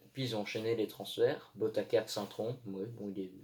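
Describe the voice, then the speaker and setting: Somewhat breathy and dark, mellow in tone, a man speaks at a fairly slow pace with a medium pitch. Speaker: football commentator youtuber. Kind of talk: monologue video commentary.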